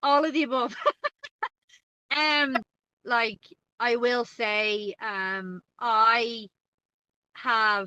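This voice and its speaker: In an American accent, a woman speaks at a very slow pace with long, frequent pauses. Her tone is bright and sharp, and the sound is dry and close, with no echo. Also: fairly high pitch for a woman, ordinary pitch variation. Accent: Irish (Dublin), with a slight American twang. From Ireland, Dublin. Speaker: guest co-host, Irish expat. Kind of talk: casual podcast chat. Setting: in her car.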